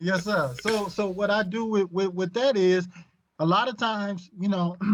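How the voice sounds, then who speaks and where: A high-pitched male voice with an American accent and ordinary pitch variation. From Michigan, US Midwest. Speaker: podcast guest. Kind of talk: casual chat. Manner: halting.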